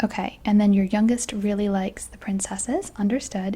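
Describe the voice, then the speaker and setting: A soft-spoken woman at a moderate pace, medium pitch, and fairly even intonation. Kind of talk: ASMR roleplay, travel agent.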